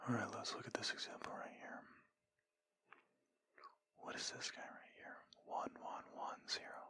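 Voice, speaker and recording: A man is whispering at a fairly slow pace. Long, frequent pauses break up his words. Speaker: ASMR creator giving a lecture. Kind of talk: ASMR lecture.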